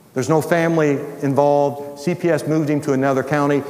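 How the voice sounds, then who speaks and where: Amid noticeable background noise and audible room echo, a man speaks in a fairly high voice with ordinary pitch variation. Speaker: retired pastor and ministry founder. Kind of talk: sermon.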